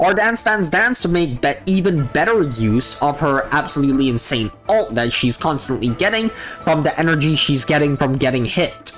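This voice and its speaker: Moderate pace with hardly any pauses, and music in the background. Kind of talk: game character guide narration.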